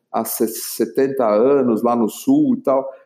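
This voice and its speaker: A man's voice with a dark, mellow tone. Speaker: entrepreneur, facilitator for leaders. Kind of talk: interview storytelling.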